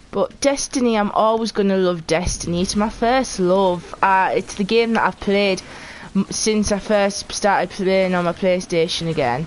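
A woman speaks with a Geordie accent over light background noise. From northeast England (Geordie). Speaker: video game streamer. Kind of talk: casual live-stream chat while gaming. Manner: animated. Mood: relaxed, chatty.

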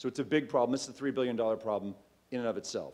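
A man of medium pitch speaks at a fairly quick pace. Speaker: startup founder. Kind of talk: pitch presentation. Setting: stage with audience. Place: hall. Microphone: podium.

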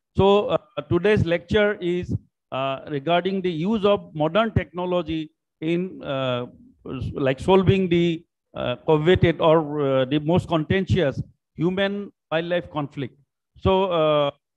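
A man's high voice at a fairly slow pace, broken by long, frequent pauses. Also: ordinary pitch variation, quiet background. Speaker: guest lecturer. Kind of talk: lecture. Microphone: video call.

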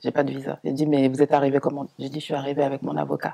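A man talks very fast at medium pitch in a dark, mellow tone, flat and monotone, with a slightly husky edge and vocal fry.

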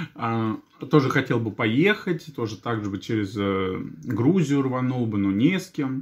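The background is quiet as a man talks at a fairly slow pace. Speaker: vlogger. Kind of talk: casual vlog chat. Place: kitchen. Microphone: phone near.

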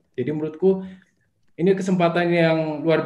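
Audible room echo surrounds a man speaking at a fairly quick pace. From Batu, Malang, East Java, Indonesia; East Java, Indonesia. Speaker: small business founder; guest. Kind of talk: interview. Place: home room. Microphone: video call.

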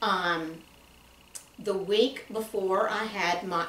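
With a Southern US accent, a woman speaks amid light background noise and audible room echo. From US South (Tennessee). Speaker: guest. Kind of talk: casual conversation. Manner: animated. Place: office. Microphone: camera far.

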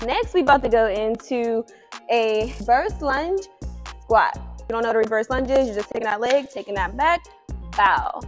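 With faint music in the background, a woman talks at a fairly quick pace in a high pitch. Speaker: fitness instructor. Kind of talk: tutorial. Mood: casual, playful. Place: gym.

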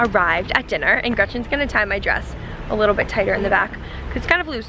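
A woman's voice with ordinary pitch variation, a dry sound with no echo and noticeable background noise. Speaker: vlogger. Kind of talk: casual vlog chat. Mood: excited, giggly. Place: street. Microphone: phone near.

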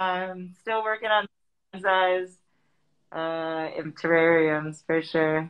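A woman's fairly low voice at a very slow pace, with long, frequent pauses, fairly even intonation and a quiet background. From US Midwest, Madison, Wisconsin; Wisconsin. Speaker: graffiti artist; guest. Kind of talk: interview. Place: home room. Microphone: webcam.

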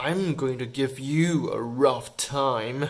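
In a put-on character voice, a man growls in a menacing tone at medium pitch, with fairly even intonation and a very slow pace. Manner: growling, menacing.

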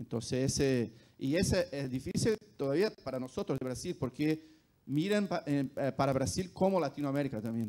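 This man speaks with a Brazilian accent, his pitch fairly high and his tone dark and mellow. His intonation is lively and his pace moderate. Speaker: esports company executive; panelist. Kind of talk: panel discussion. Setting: stage with audience. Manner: halting. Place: hall. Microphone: handheld.

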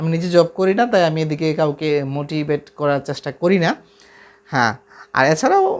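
Fairly high in pitch, a man talks with ordinary pitch variation. It is an ordinary speaking voice. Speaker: math YouTuber and polytechnic lab instructor. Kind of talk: casual vlog talk to viewers.

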